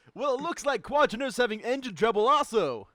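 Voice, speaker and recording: A man in a put-on character voice speaks very fast in an excited tone, his pitch pushed extremely high. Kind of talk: comic table read of sports commentary. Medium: read story. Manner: showy, excited.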